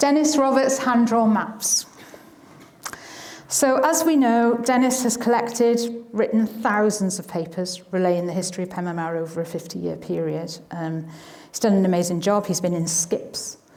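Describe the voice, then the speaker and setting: Speaking with a South Wales accent, a woman uses lively intonation at a medium pitch and moderate pace amid noticeable background noise. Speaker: historian and museum volunteer. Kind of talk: public talk. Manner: hesitant, with fillers.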